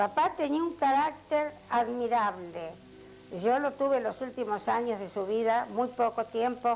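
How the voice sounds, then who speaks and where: A woman speaks at a very slow pace with a fairly high pitch. Music plays in the background. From Argentina, Azul (Buenos Aires province). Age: 80s+. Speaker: retired schoolteacher. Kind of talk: oral history interview. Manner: halting, with many fillers.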